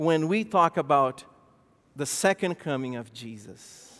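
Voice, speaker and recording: A man's fairly high voice at a fairly slow pace, full of lively intonation. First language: not English. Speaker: pastor. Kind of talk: sermon. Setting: church.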